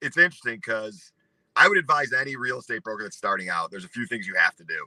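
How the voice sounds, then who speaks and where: With a Chicago accent, a man talks very fast in an animated tone, his loudness swinging widely, the sound dry and close with no echo. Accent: Chicago-area American. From US Midwest, north of Chicago. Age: 40s. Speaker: real estate broker. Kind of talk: interview. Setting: live video stream.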